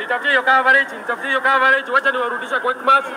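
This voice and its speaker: Amid noticeable background noise, a man speaks in a raised, projected voice at an extremely high pitch for a man, at a fairly quick pace. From Kenya. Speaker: livestreamer covering protests; livestreamer. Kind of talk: live streaming commentary; casual livestream commentary. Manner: fast, repetitive. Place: street. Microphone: phone near.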